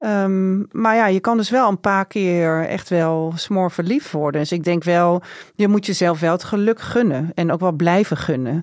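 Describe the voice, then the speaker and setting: Very clean and set against a silent background, the recording holds a woman with an unremarkable speaking voice at a fairly low pitch. She talks at a fairly slow pace with hardly any pauses, ordinary pitch variation and very even loudness. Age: 40s. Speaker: journalist and columnist. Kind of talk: interview conversation.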